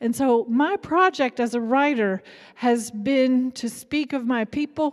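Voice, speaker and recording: A woman's high voice with an Appalachian accent, at a fairly slow pace. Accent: Appalachian Southern US. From Kentucky, Appalachia. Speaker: writer. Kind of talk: public talk.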